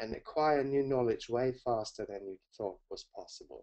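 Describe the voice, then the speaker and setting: Speaking at a moderate pace with a German accent, a man uses lively intonation at a medium pitch. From Germany, Hamburg. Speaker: learning coach. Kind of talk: webinar presentation. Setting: webinar.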